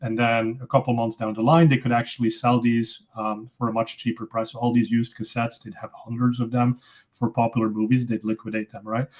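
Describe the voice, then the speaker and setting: In a Dutch accent, a man speaks at a fairly quick pace with hardly any pauses, his medium-pitched voice monotone and flat. The recording is very clean, with a silent background. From Belgium (Flemish). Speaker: tech company founder, PPC expert. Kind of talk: casual interview.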